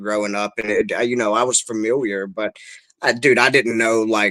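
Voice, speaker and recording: Using a bright, sharp tone, a man with a Kentucky accent speaks at a medium pitch. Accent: Kentucky Southern. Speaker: guitarist and songwriter. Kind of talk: casual chat.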